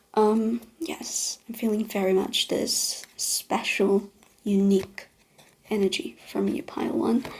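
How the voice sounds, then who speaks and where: A woman's fairly high voice at a very slow pace, with ordinary pitch variation and noticeable background noise. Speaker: tarot reader. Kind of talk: pick-a-card tarot reading to camera. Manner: gentle, soothing.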